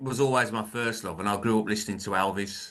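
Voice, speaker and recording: With a Birmingham accent, a man speaks at a fairly low pitch in a bright, sharp tone. The background is quiet. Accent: Birmingham (Brummie). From England, Birmingham. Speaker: author and filmmaker, former musician. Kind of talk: interview. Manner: hesitant, many fillers.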